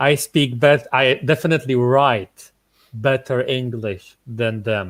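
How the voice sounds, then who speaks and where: A man speaks with a Polish accent at a very slow pace. His voice sits at medium pitch with ordinary pitch variation. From Poland. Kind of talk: casual chat. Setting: online group call.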